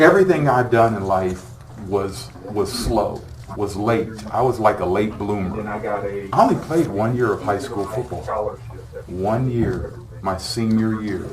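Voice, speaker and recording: A man with an American accent at a medium pitch and fairly slow pace, ordinary pitch variation, plus audible room echo and noticeable background noise. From California, Sacramento. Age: 60s. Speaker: former football player, motivational speaker. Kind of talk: talk to students, Q&A. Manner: casual, conversational.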